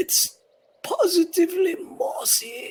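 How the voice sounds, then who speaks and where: This put-on character voice is extremely high and raspy, delivered at a fairly slow pace. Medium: actual play. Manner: warm, gentle.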